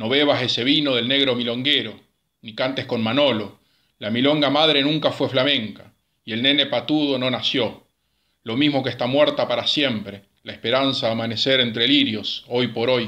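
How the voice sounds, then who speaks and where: A man speaks in a solemn, bright and sharp tone at a medium pitch, with fairly even intonation, a moderate pace and a quiet background. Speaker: amateur poetry reader. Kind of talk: poetry reading, read aloud. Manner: solemn, measured, melancholic.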